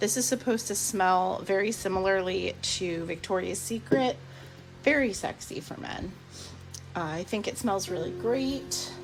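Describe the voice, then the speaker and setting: A woman speaks at a fairly slow pace in a relaxed tone and medium pitch, with very wide pitch swings. Music plays in the background. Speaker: soap maker. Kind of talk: casual talk to camera. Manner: relaxed, chatty.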